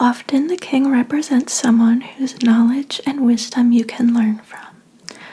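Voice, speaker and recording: The voice is soft-spoken and the pace very slow. Noticeable background noise runs underneath. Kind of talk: ASMR tarot reading roleplay as a fortune teller. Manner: soft-spoken, relaxing.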